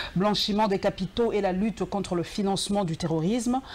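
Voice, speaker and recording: A woman talks at a medium pitch. Noticeable background noise runs under her. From DR Congo. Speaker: TV show host. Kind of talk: TV interview; reading guest's bio aloud.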